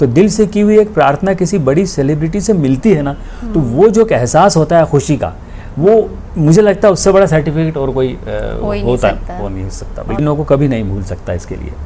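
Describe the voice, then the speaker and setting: A man's fairly high-pitched voice with lively intonation at a moderate pace, over noticeable background noise. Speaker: retired senior radio announcer; voice-over artist and theatre actor. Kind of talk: interview answer.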